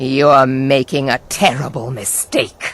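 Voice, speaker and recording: This is a put-on character voice with a growl at a low-to-middle pitch. The delivery is fairly slow. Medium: machinima. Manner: haughty.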